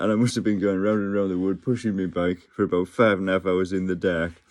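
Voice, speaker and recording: A man with an English accent talks at a very fast pace in a very deep, low voice, his intonation fairly even against a quiet background. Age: 50s. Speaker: vlogger. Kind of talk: casual monologue. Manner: halting.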